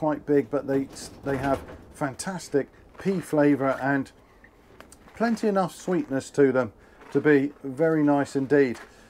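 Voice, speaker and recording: With a dark, mellow tone, a man speaks at a fairly slow pace with ordinary pitch variation and long, frequent pauses. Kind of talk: gardening tutorial vlog. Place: garden. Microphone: camera far.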